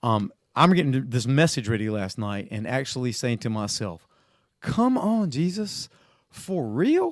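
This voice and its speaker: Very wide pitch swings mark this man's fairly slow speech. The recording is very clean, the background silent. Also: medium pitch for a man. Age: 60s. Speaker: pastor. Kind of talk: casual chat.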